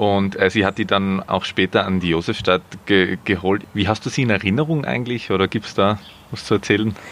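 An ordinary speaking voice from a man, fairly low-pitched, with ordinary pitch variation and a fairly quick pace. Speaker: podcast host. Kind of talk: interview. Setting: outdoors in a garden.

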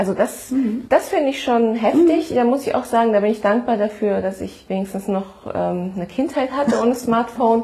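Fairly high-pitched woman speaking with hardly any pauses, ordinary pitch variation, and noticeable background noise. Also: moderate pace. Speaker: podcast host. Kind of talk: casual chat.

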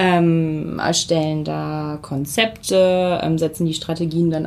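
With a normal speaking voice, this woman keeps her pitch fairly low and her intonation fairly even. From Germany, Weserbergland (Hameln). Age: 30s. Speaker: social media team lead. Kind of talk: interview. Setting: conference room.

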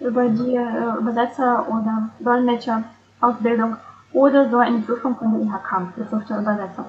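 Over noticeable background noise, a woman with a Russian accent speaks at a moderate pace in a fairly high pitch with monotone, flat intonation. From Russia (St. Petersburg). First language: Russian (speaking German). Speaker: interpreter and translator. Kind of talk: interview.

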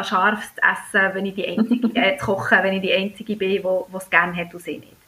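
Fairly even intonation comes through in a Bernese accent. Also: woman. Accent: Bernese Swiss German dialect. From Switzerland, Bern. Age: 30s. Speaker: pharmacist and food blogger. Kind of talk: casual chat.

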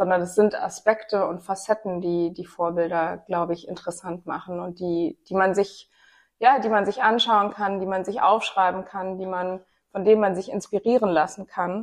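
A plain, everyday voice from a woman at medium pitch, moderate pace, fairly even intonation and big swings in loudness. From Rhineland, Germany (Bonn). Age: 30s. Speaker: podcast host and gender equality advocate. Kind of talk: casual discussion.

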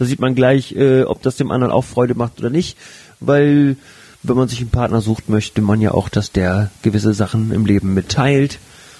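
A man with ordinary pitch variation, music playing in the background. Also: medium pitch for a man, moderate pace. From northern Germany, Flensburg. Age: 30s. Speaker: sex educator and podcast co-host. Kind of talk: casual chat.

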